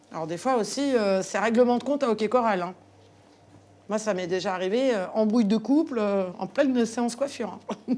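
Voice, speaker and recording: Pausing long and often, a woman with a fairly high pitch and a dark, mellow tone talks at a moderate pace with ordinary pitch variation. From Paris suburbs. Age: 50s. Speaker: hairdresser. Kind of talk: casual chat. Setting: client's home. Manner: hesitant, many fillers.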